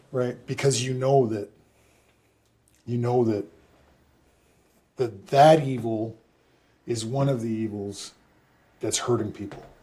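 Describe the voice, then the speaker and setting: Fairly slow, somewhat breathy speech from a man at medium pitch, with fairly even intonation and long, frequent pauses. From Canada. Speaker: former pro football player and public speaker. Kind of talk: casual chat.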